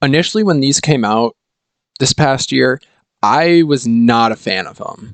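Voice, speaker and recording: Dry and close with no echo, a man with a plain, everyday voice and medium pitch talks at a fairly slow pace with lively intonation. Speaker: hockey YouTuber. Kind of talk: casual commentary monologue.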